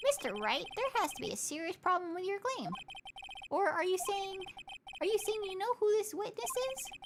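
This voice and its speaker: A squeaky put-on character voice at an extremely high pitch and a moderate pace. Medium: virtual streamer. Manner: slow, formal.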